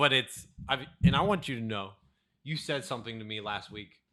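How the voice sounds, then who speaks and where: A man's bright, sharp voice, with ordinary pitch variation, comes through a very clean recording against a silent background. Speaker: podcast co-host. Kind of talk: casual chat. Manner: loud; fast, speeds up when excited.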